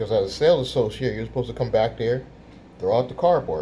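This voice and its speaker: The man is soft-spoken. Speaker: YouTuber, business credit coach. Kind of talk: storytelling vlog. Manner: quiet, soft-spoken; animated.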